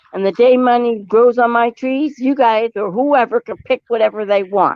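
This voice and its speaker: A woman speaks in a fairly high voice at a moderate pace. Her tone is animated. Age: 60s. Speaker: streamer's mother. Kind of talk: heated family argument. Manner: animated, talks over others.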